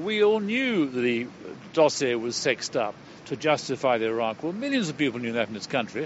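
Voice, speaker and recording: There is noticeable background noise behind a man talking at a moderate pace. His pitch swings very widely. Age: 70s. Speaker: retired surgeon. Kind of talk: interview. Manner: animated.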